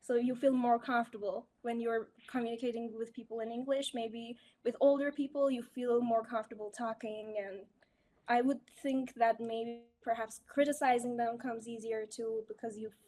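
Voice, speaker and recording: In a Persian accent, a woman speaks at a fairly high pitch with a dark, mellow tone. Her intonation is monotone and flat, and her pace is moderate. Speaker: English speaking teacher. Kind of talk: casual chat.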